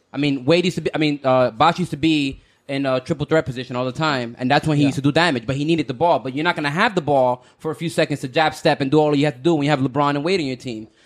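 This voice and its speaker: In a very clean recording with a silent background, a man with a fairly high pitch talks very fast with hardly any pauses, keeping a fairly even intonation. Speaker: podcast co-host. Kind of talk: casual chat. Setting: studio.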